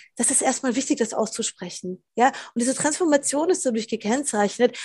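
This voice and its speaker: Against a quiet background, a woman with a fairly high pitch speaks in an unremarkable speaking voice. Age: 40s. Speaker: philosopher and author. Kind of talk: casual interview chat.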